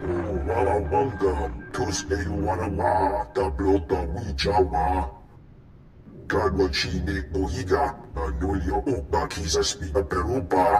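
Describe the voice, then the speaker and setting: A put-on character voice from a man, very deep and low in pitch, fairly slow, over clear background noise. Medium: video game. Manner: slow, pompous.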